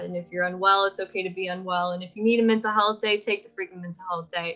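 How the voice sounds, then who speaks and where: Very fast female speech amid noticeable background noise. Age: 20s. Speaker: animation graduate, social media staff. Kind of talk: interview. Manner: loud; animated.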